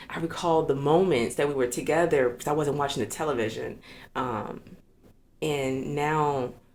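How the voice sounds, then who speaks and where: A woman with an American accent and a very deep, low pitch, at a moderate pace with fairly even intonation, amid audible room echo. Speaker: non-profit founder and community organizer. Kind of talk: casual interview conversation.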